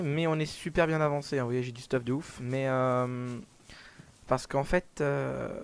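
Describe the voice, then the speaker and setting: A man talks at a medium pitch with ordinary pitch variation. His pace is fairly slow. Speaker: gaming video creator. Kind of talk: gameplay commentary. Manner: casual, hesitant with many fillers.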